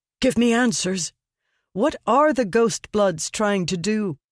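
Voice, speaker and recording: A woman's put-on character voice at a medium pitch, fairly slow in pace with lively intonation, in a dry, close sound with no echo. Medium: read story. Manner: terse, blunt.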